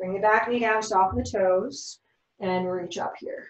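Speech comes at a moderate pace. The room echo is audible against a quiet background. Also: woman. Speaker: yoga teacher. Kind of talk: guided yoga class instruction. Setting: online live class. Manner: gentle, encouraging. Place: home room. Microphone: camera far.

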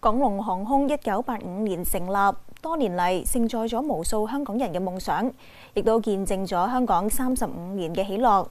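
With a Hong Kong accent, a woman talks with ordinary pitch variation. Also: moderate pace. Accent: Hong Kong Cantonese. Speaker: news programme anchor. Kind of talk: news presenting. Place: studio.

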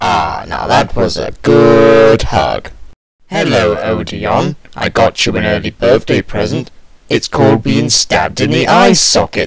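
Raspy and put on, this man's character voice sits at medium pitch. He speaks at a fairly slow pace. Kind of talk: fan dub audition. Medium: voice reel. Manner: mocking, menacing.

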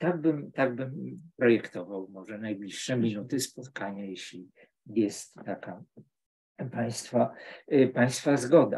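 Speech comes at a very slow pace. Pitch varies in an ordinary way. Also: man, medium pitch for a man. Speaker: literature professor. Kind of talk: academic book discussion. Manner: halting.

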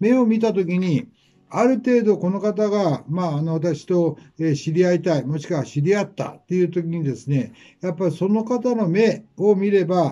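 A man's high-pitched voice, dark and mellow in tone, with lively intonation, a moderate pace and a quiet background. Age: 70s. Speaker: menswear fashion veteran. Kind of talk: advice talk to camera. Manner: polite, measured. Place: shop.

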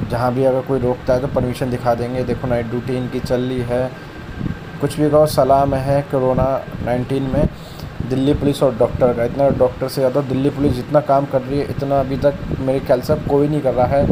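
A man speaks at a moderate pace. Noticeable noise sits in the background. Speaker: motorcycle rider vlogger. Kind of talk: casual vlog chat. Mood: grateful, calm. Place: motorbike.

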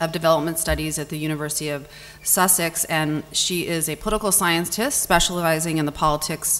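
With fairly even intonation, a woman talks at a fairly quick pace in a fairly low pitch, a normal speaking voice. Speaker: panel moderator. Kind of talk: moderator introduction. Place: hall. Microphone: podium.

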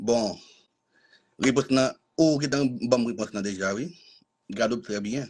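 A man speaks with ordinary pitch variation. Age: 40s. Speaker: dating show candidate. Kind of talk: self-introduction on a live stream. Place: home room. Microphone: video call.

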